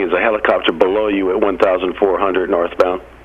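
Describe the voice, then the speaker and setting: A man's fairly quick, monotone, flat delivery over noticeable background noise. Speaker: air traffic controller. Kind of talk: radio ATC phraseology. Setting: radio transmission.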